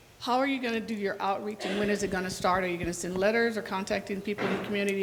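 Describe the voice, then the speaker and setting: A woman with a medium pitch speaks at a very fast pace, with fairly even intonation and hardly any pauses. Audible room echo and noticeable background noise fill the recording. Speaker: community member asking questions. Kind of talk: public meeting question. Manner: loud.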